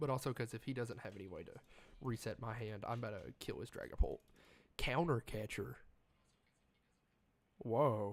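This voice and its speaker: At a moderate pace, a man with a medium pitch speaks with vocal fry. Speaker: streamer playing card game. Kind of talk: live gameplay commentary. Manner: casual, animated.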